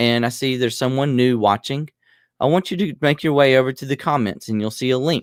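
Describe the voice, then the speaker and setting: Medium-pitched male speech in a Southern US accent, dry and close with no echo, on a very clean recording with a silent background. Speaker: podcast host, reseller. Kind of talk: casual chat.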